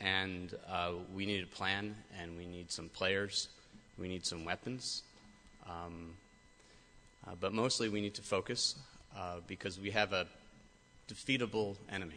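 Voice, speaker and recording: In an American accent, a man with a very deep, low pitch and a bright, sharp tone speaks with fairly even intonation and long, frequent pauses. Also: fairly slow pace. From US Midwest, Michigan. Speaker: cancer researcher. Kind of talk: speech to an audience. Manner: hesitant, many fillers.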